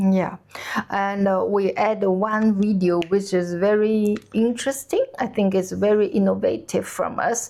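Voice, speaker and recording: A woman at medium pitch, fairly slow pace and very even loudness, with fairly even intonation and noticeable background noise. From China. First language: Chinese. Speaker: cooking channel host. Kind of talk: casual chat. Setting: on holiday trip in Denmark. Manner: halting, many fillers.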